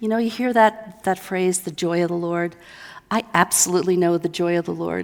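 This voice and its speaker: A woman talks at a moderate pace in a normal speaking voice with a medium pitch. Her intonation stays fairly even. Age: 60s. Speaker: author and LGBTQ+ advocate. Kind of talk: conference keynote talk. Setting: stage with audience.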